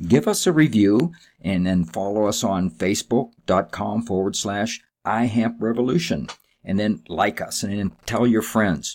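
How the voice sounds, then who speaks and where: An unremarkable speaking voice, this man's is fairly low in pitch with ordinary variation, moving at a fairly slow pace on a very clean recording with a silent background. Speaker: podcast host. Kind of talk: interview intro and conversation.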